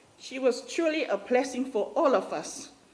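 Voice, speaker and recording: This woman speaks with a Samoan accent. Her pitch is high, and her pace is moderate. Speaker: family friend giving a eulogy. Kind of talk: eulogy.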